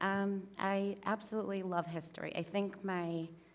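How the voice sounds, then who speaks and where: A woman speaks with an eastern Massachusetts accent. Her intonation is monotone and flat. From Massachusetts, North Plymouth. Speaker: applicant for town commission. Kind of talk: public comment at town meeting. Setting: town meeting hall, at podium. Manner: hesitant, many ums.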